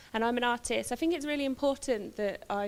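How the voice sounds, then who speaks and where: A woman speaks very fast on a very clean recording, the background silent. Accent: West Midlands. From West Midlands, England. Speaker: visual artist. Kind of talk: public talk, partly read from notes. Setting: talk to a live audience with handheld microphone.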